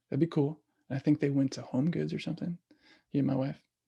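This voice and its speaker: A somewhat breathy man with a fairly high pitch at a very fast pace. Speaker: parent workshop presenter. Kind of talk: online workshop talk.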